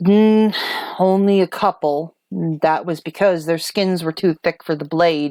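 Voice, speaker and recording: A woman puts on a gruff character voice, pitched fairly low and delivered at a fairly slow pace. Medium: actual play. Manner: gruff, blunt.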